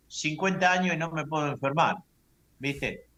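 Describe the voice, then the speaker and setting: Bright and sharp in tone, a man speaks at a fairly slow pace with fairly even intonation. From Argentina. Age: 70s. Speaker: UFO abductee, lecturer. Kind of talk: testimony.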